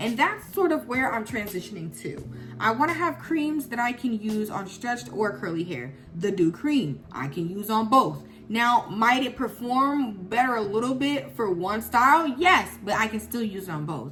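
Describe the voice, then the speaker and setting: A woman shouting loudly at a moderate pace, fairly high-pitched with very wide pitch swings, amid noticeable background noise. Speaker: natural hair vlogger. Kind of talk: casual product review vlog. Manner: loud, shouting; energetic, emotional.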